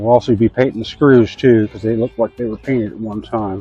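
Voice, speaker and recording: Over music in the background, a man at a medium pitch speaks very fast in a monotone, flat delivery. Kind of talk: DIY tutorial talk to camera. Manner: casual, folksy.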